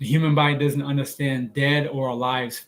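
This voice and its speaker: A man talks at a moderate pace in a somewhat breathy voice with a fairly high pitch. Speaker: health and diet vlogger. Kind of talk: live stream Q&A talk. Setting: live stream on social media.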